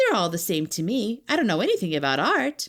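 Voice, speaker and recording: A female-sounding voice at a medium pitch puts on a character voice at a fairly quick pace. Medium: read story. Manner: plain-spoken, naive.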